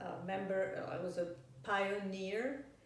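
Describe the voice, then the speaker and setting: A woman talks very slowly, with audible room echo around her and noticeable background noise. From Yugoslavia (Belgrade), also Francophone Africa. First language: Serbian. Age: 60s. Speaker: professor. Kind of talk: interview. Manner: hesitant, with fillers and restarts.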